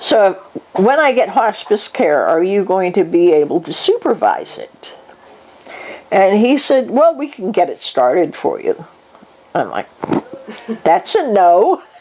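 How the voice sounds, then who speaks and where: Against noticeable background noise, a woman with a fairly high pitch speaks at a fairly slow pace, with very wide pitch swings and long, frequent pauses. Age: 60s. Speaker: hospice patient and retired nurse. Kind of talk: life review interview.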